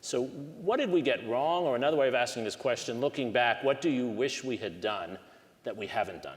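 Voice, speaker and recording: With lively intonation and a medium pitch, a man speaks at a fairly quick pace. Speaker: history professor. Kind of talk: panel discussion.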